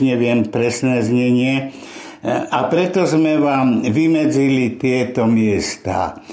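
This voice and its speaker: Noticeable background noise and audible room echo surround a man at medium pitch. He talks at a very slow pace with fairly even intonation. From western Slovakia, Nitra. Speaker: Holocaust survivor and war veteran. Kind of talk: oral history testimony. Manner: halting, with repetitions.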